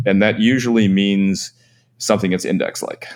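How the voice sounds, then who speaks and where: A man with an unremarkable speaking voice talks at a fairly quick pace and a fairly low pitch. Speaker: ETF fund manager. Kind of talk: casual interview chat. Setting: video call from a beach location.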